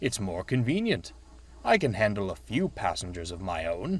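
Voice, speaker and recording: Putting on a character voice, a man speaks at a moderate pace and a fairly low pitch. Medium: read story. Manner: kind, eager.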